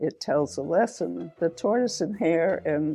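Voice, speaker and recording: A woman's very deep, low voice with vocal fry and a dark, mellow tone, at a fairly slow pace. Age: 90s. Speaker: sculptor. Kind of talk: interview. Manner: halting, with fillers and repetitions.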